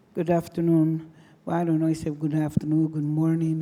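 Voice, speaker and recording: With a non-native accent, a woman speaks in a very deep, low pitch, her dark, mellow tone held in a flat monotone. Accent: foreign. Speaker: deputy mayor. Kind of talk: conference presentation. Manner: halting.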